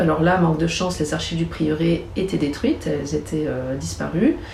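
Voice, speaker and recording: Noticeable background noise and audible room echo surround this recording. A woman speaks at a moderate pace with a fairly low pitch. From Chablais, Haute-Savoie, France. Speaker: archaeologist and novelist. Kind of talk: interview. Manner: hesitant, with fillers and repetitions.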